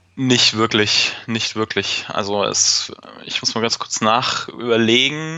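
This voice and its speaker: Medium pitch from a man at a very slow pace, ordinary pitch variation, and noticeable background noise. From Fürth, Franconia, Germany. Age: 30s. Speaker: football fan. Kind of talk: casual chat.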